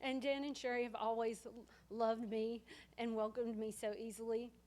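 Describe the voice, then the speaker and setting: A woman with a Southern US accent and a fairly high pitch talks at a fairly quick pace in a monotone, flat intonation. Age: 30s. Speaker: family friend. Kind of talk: eulogy sharing at memorial. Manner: loud.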